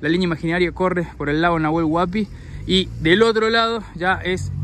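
A man's high-pitched voice at a moderate pace, with ordinary pitch variation, a dry sound with no echo and noticeable background noise. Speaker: travel vlogger. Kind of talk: casual travel vlog commentary. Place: street. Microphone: phone near.

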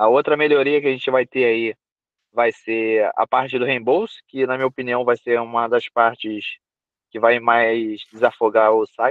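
Against a quiet background, a man talks in a monotone, flat way at a medium pitch. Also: moderate pace, dry sound with no echo. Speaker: team member explaining platform updates. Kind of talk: casual chat. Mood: upbeat, informal. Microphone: video call.

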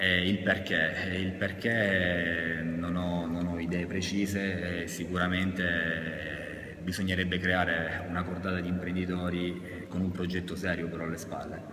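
Faint music plays behind a man whose very deep, low voice moves at a fairly slow pace in a monotone, flat intonation. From Brindisi, Apulia, southern Italy; Apulia, Italy. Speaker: football referee; interviewee. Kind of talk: interview. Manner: halting. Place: hall. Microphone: camera far.

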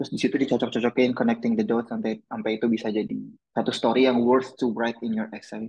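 At a very fast pace, a man speaks in a monotone, flat intonation at medium pitch. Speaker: exchange student, essay workshop presenter. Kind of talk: online workshop presentation.

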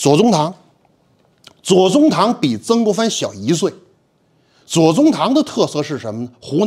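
Against a quiet background, a man talks at a moderate pace in an animated tone. His pitch swings very widely. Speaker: history teacher. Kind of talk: lecture. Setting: stage with audience. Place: classroom.

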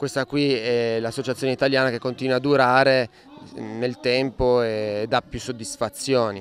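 A man speaks at a moderate pace in a monotone, flat intonation. The sound is dry with no echo, over light background noise. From Italy. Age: 30s. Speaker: rodeo bull rider. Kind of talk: interview. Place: farm. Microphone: handheld.

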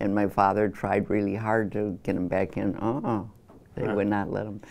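With an American accent, a woman speaks at a moderate pace in a very deep, low pitch and a monotone, flat intonation. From Chicago, Illinois. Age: 80s+. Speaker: interviewee. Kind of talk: interview answer. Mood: reflective, animated at times. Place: studio.

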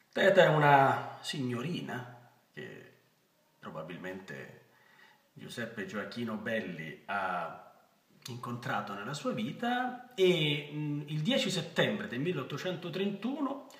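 A man speaking at a very slow pace, with audible room echo. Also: big swings in loudness. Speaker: actor. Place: home room. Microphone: phone near.

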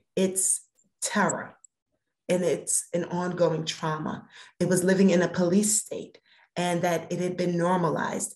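In a quiet but audibly echoing room, a woman with an American accent speaks at a fairly low pitch and a fairly slow pace, her delivery flat and monotone with long, frequent pauses. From Brooklyn, New York; New York. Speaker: cannabis regulatory board chair; guest. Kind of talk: interview. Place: home room. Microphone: video call.

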